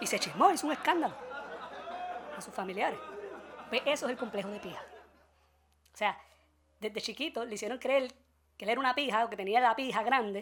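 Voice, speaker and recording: A woman's fairly high voice with lively intonation, big swings in loudness and a fairly quick pace broken by long, frequent pauses, over crowd noise in the background. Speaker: podcast host. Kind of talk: comedic news commentary.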